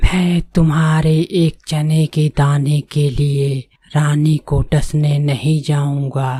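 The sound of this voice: A cartoonish character voice with a low-to-middle pitch speaks at a very slow pace. Its intonation is monotone and flat.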